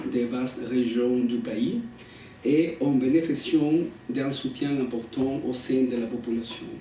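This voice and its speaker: Over noticeable background noise and audible room echo, a man speaks very slowly at medium pitch. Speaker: academic researcher. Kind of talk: conference talk, reading prepared text. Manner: halting.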